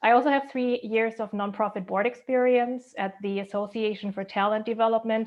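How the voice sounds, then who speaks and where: A woman's fairly high voice with a German accent, at a fairly quick pace, in a monotone, flat intonation with hardly any pauses. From Germany. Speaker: school board candidate, HR director. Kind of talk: candidate speech at online forum.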